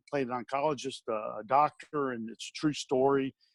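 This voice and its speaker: With an Alabama accent, the speaker talks at a moderate pace with ordinary pitch variation, in a dry, close sound with no echo. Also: man. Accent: Southern US (Alabama). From US South. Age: 50s. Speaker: stuntman and actor. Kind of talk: interview. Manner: halting, many fillers and restarts.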